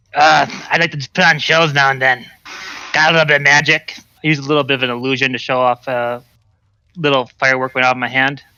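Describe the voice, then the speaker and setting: A man puts on a raspy, growling character voice at a medium pitch, speaking at a very fast pace. His delivery is broken by long, frequent pauses. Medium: actual play. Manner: friendly, laid-back.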